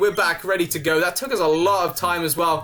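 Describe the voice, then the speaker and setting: A man speaks very fast in a high pitch for a man. Noticeable background noise is present. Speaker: gaming youtuber. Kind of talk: let's play commentary. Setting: home recording. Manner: casual, animated.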